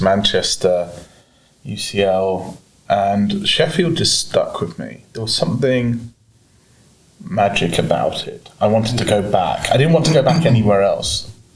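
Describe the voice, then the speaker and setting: A man with an American accent, plus audible room echo. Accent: sounds British. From mixed: Germany, United States, UK (forces family). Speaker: entrepreneur. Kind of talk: podcast interview. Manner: hesitant, many fillers and restarts.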